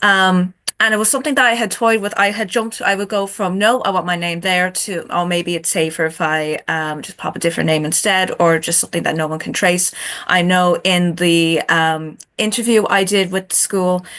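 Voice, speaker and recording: The speaker has an Irish accent. Noticeable background noise runs underneath. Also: woman, medium pitch for a woman, ordinary pitch variation, moderate pace. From Ireland. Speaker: chapter author on a book panel. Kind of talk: panel discussion.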